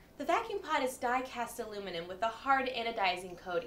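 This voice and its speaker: A woman speaks with very wide pitch swings. Noticeable background noise runs underneath. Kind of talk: TV commercial read.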